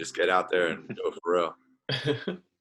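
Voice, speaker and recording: With an Australian accent, a man speaks in a very deep, low pitch. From Australia, Adelaide. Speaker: professional basketball player. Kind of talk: casual interview.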